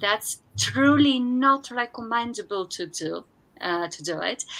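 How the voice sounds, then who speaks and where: Words come out at a very slow pace. The tone is bright and sharp, the voice raised and projected. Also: woman. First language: Spanish. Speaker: consultant hosting a business workshop. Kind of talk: live webinar storytelling. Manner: hesitant, many fillers.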